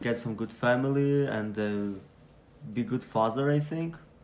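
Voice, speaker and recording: A man speaks with a Ukrainian accent. His pitch sits mid-range, with ordinary pitch variation. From Ukraine. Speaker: refugee sharing his story. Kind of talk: personal testimony, recorded story. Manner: halting, searching for words.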